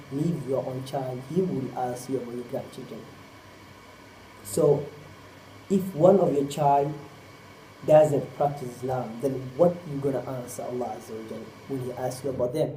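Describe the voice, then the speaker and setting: A man with a Somali accent speaks at a moderate pace and a medium pitch, his pitch varying in an ordinary way, his loudness swinging widely, with long, frequent pauses and audible room echo. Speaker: Islamic preacher. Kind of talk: sermon.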